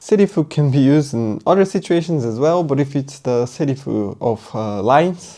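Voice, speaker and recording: Against a quiet background, someone with a Portuguese accent speaks at a moderate pace. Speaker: Japanese language teacher. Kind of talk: tutorial. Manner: casual, thinking aloud.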